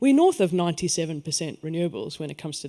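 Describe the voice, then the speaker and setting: Lively intonation comes through in a voice with a South African accent. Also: man. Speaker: energy network executive. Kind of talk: panel discussion.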